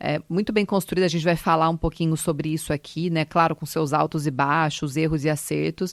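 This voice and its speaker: A woman with a São Paulo interior accent talks at a very deep, low pitch with fairly even intonation and hardly any pauses, in a dry, close sound with no echo and a quiet background. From Brazil, Ribeirão Preto (São Paulo interior). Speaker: retail company director. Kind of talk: interview.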